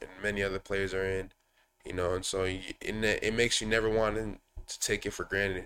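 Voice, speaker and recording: A man with an American accent, fairly low in pitch, bright and sharp in tone, fairly quick and monotone, flat in delivery. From Minnesota, US (Woodbury). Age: 20s. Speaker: professional basketball player. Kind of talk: casual interview. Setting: studio.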